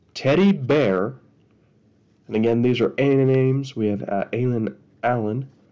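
A man talks quietly and very slowly at a medium pitch, his dark, mellow tone carrying ordinary pitch variation. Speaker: card collector YouTuber. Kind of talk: pack opening video. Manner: casual.

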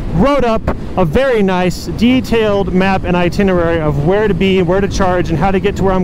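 A man talking at a fairly quick pace with hardly any pauses, in a dry sound with no echo and noticeable background noise. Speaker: motovlogger. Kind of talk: casual vlog chat. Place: motorbike. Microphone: helmet.

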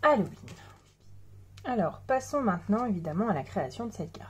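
Vocal fry runs through this woman's dark, mellow tone. Her pitch swings very widely. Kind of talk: tutorial.

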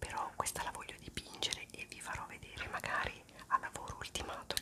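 Whispering at a very fast pace, a woman speaks. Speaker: ASMR creator. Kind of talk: ASMR whispered talk to camera. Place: home room. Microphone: phone near.

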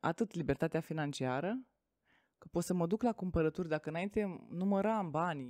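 Quiet background and dry sound with no echo frame a woman with a fairly low pitch and a dark, mellow tone, speaking at a moderate pace. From Romania, Tecuci, Galați county; Romania. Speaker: network marketing entrepreneur; podcast guest. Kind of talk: interview. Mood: calm, reflective storytelling. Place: studio. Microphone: studio mic.

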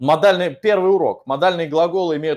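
A man with ordinary pitch variation speaks fairly quickly against a quiet background. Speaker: English teacher. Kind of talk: online lesson, Q&A. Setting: online video class. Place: classroom. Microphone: webcam.

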